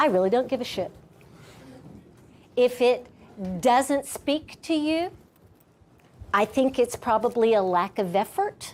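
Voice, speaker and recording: A woman speaks at a fairly slow pace, with long, frequent pauses. Her high voice carries lively intonation. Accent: American. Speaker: teacher. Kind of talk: classroom discussion.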